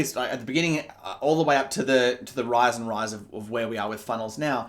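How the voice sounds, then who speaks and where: A man speaks very fast in an Australian accent. His intonation is lively. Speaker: business coach. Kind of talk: online marketing pitch. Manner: halting, many fillers and restarts.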